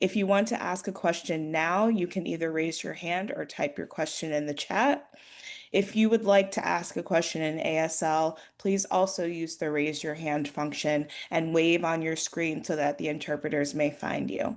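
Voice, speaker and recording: A woman with a fairly low pitch and a plain, everyday voice, moderate pace and ordinary pitch variation, against a quiet background. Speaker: webinar moderator. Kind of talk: webinar Q&A moderation.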